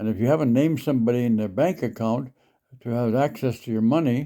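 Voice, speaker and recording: A man with a western Canadian accent talks at a fairly quick pace, his medium-pitched voice dark and mellow in tone. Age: 80s+. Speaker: senior sharing life advice online. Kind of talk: casual advice talk. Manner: halting, with many fillers.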